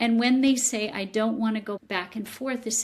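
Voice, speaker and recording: Vocal fry marks the fairly slow speech in this very clean recording with a silent background. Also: woman. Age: 60s. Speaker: psychotherapist and author. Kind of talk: interview.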